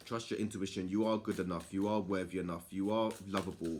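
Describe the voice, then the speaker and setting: The recording is very clean, with a silent background. A man speaks in a fairly low pitch with monotone, flat intonation. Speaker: tarot reader. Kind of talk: tarot reading monologue.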